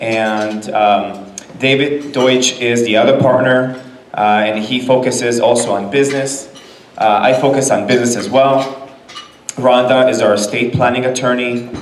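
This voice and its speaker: A man's medium-pitched voice in a Californian accent, at a moderate pace with fairly even intonation, with audible room echo and noticeable background noise. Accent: General American, Californian. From Los Angeles, raised from age nine (born in Israel). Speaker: business lawyer. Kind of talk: presentation to a business audience. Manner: casual, with frequent fillers.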